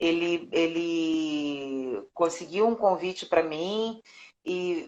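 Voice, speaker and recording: Her intonation lively, a woman speaks with a Carioca accent. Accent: carioca Brazilian Portuguese. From Rio de Janeiro, Brazil. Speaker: voice actress and dubbing director. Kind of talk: interview. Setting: live stream.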